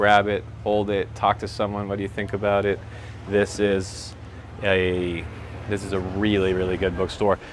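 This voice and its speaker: Speaking at a moderate pace with long, frequent pauses, a man uses a fairly low voice. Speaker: real estate agent vlogger. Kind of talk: walking tour vlog. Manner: casual, energetic.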